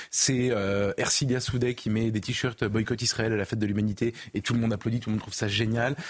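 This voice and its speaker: A man talks in a normal speaking voice at a medium pitch and a fairly quick pace, with ordinary pitch variation. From Paris region, France. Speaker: journalist, newspaper editor. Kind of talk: televised debate.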